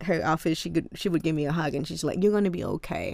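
A woman with a Cambodian accent, fairly low pitch and fairly even intonation. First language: Khmer. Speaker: college student. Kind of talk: casual interview.

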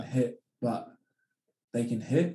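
With a Sydney accent, a man talks in a dark, mellow tone and fairly even intonation. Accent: Australian, western Sydney. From Australia (Penrith, western Sydney). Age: 20s. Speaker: professional rugby league player. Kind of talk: casual interview chat. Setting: podcast recording.

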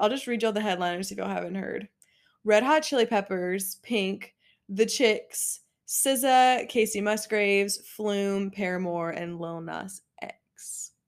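A woman's ordinary speaking voice at medium pitch, with ordinary pitch variation and a moderate pace, on a very clean recording with a silent background. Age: 20s. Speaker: podcast co-host. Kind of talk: casual chat. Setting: home bedroom. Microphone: new microphone, only one working.

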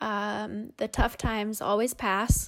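With a Canadian Prairies accent, a woman speaks very slowly at a medium pitch in monotone, flat intonation, in a very clean recording with a silent background. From Canada, Winnipeg, Manitoba. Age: 20s. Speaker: race car driver. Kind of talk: interview.

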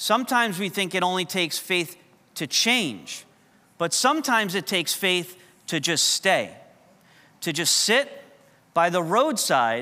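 A raised, projected voice, bright and sharp in tone, with very wide pitch swings. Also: man. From New York. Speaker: pastor. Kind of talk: sermon. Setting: church.

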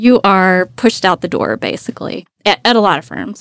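A woman with an unremarkable speaking voice speaks at a medium pitch with an American accent and ordinary pitch variation. Her pace is fairly slow, on a very clean recording with a silent background. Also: dry, close sound with no echo. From Deep East Texas. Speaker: attorney. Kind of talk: interview conversation. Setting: recording studio.

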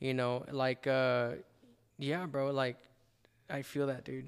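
A man with an American accent talks at a fairly slow pace and a medium pitch. It is an ordinary speaking voice, with fairly even intonation. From El Paso, Texas. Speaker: podcaster. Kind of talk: interview with personal testimony. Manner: casual, slangy.

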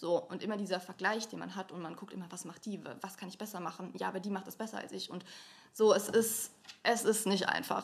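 A woman's very fast delivery at medium pitch, monotone and flat, with vocal fry. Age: 20s. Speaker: influencer and student. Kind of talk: casual chat.

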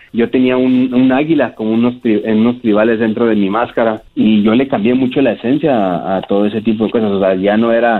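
A man with a plain, everyday voice, very even loudness, fairly even intonation and hardly any pauses. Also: medium pitch for a man. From Mexico, Ciudad Juárez. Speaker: professional wrestler. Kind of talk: interview.

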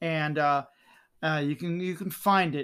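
A man with a plain, everyday voice speaks at a fairly slow pace, his pitch fairly high and his intonation fairly even. The recording is very clean with a silent background. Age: 50s. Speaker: YouTuber and T-shirt artist. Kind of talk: casual chat.

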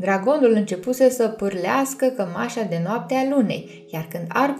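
Natural voice reading aloud

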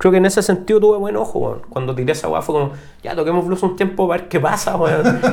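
A man with a Chilean accent talking very fast in a high pitch, with ordinary pitch variation and noticeable background noise. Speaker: rock musician. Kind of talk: casual chat.

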